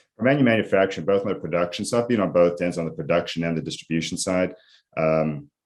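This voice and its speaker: A man with a South African accent, very fast pace and very deep, low pitch against a quiet background. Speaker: IT executive. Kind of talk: interview.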